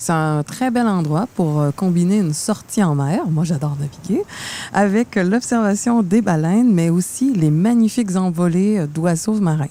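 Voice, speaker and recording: With a Quebec accent, a woman at a medium pitch talks at a fairly slow pace with lively intonation. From Quebec, Montreal. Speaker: podcast co-host. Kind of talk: scripted podcast chat.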